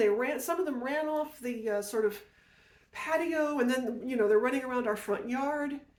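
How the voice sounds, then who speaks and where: A woman speaks loudly at a moderate pace. She uses ordinary pitch variation. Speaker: podcast host, storyteller. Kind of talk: personal storytelling. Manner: animated.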